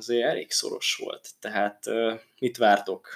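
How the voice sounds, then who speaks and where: The speaker's intonation stays fairly even. The pace is fairly slow. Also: man. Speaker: football podcast host. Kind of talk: casual chat.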